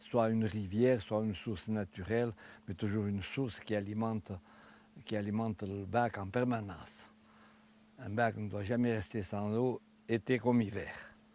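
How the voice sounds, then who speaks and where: The speaker's dark, mellow tone moves at a moderate pace with fairly even intonation and long, frequent pauses. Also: man, fairly low pitch for a man. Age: 70s. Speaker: retired farmer and woodworker. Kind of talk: interview, craft explanation. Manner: halting, with repetitions.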